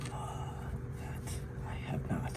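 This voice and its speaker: A man whispers in a relaxed tone at a very slow pace. Noticeable background noise is present. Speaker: ASMR creator. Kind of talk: casual talk to camera, life ramble. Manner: soft-spoken, relaxed.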